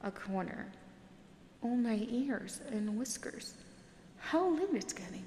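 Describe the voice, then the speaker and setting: A soft-spoken woman talks in a soothing tone at a fairly slow pace. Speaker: audiobook narrator. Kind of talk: sleep story. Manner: soft-spoken, soothing.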